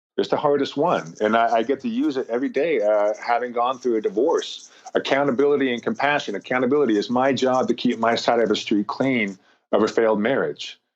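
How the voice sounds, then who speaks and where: At a fairly quick pace, a man speaks in a normal speaking voice of medium pitch, with ordinary pitch variation and very even loudness. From US West (rural Montana). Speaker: motivational speaker, former basketball player. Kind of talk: podcast interview.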